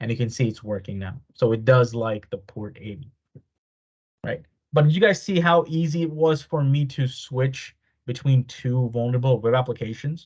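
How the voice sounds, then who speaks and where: A man talks at a moderate pace in a medium-pitched, somewhat breathy voice. His pitch varies in an ordinary way. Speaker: cybersecurity instructor. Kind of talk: live online workshop tutorial.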